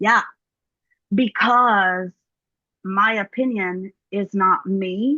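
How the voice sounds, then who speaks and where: A woman with a Southern accent, bright, sharp tone and medium pitch, fairly even intonation, very slow pace with long, frequent pauses, in a dry, close sound with no echo. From US South, Mississippi. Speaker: yoga teacher. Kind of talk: casual interview chat.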